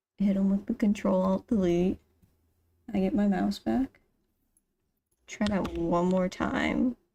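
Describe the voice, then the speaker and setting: A woman with a dark, mellow tone and a somewhat breathy voice speaks at a fairly slow pace. She leaves long, frequent pauses, with ordinary pitch variation. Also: medium pitch for a woman, very even loudness. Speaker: gaming streamer. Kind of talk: live gameplay commentary. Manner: casual, chatty.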